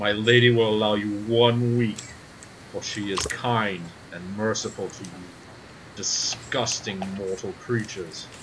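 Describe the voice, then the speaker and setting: A man performs a booming, put-on character voice at a fairly low pitch and a moderate pace. Long, frequent pauses break it up, with clear background noise behind him. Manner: haughty, menacing.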